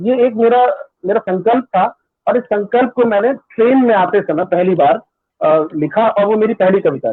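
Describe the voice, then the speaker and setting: Pitched high, a man is speaking. The variation in his pitch is ordinary. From western Uttar Pradesh, India (Budaun/Bareilly area). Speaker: media professional and poet. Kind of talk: interview, personal story. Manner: hesitant, many fillers.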